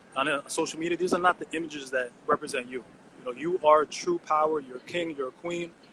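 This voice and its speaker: Speaking very fast with an American accent, a man with a fairly high voice keeps his intonation fairly even, the sound dry and close with no echo but with noticeable background noise. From US Northeast (Elizabeth, New Jersey). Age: 30s. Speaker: artist. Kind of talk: interview. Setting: video call. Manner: halting.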